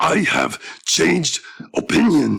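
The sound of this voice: This is a put-on character voice. It sounds raspy. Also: man.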